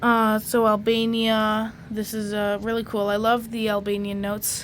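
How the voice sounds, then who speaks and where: Her pace is fairly slow. The woman's pitch sits fairly high. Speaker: banknote collector YouTuber. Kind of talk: casual show-and-tell video. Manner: hesitant, many fillers.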